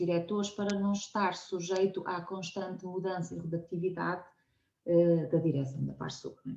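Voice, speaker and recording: A woman speaks at a medium pitch and moderate pace in a European Portuguese accent. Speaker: science communicator, nonprofit co-founder. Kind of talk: conversational interview. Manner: hesitant, many fillers.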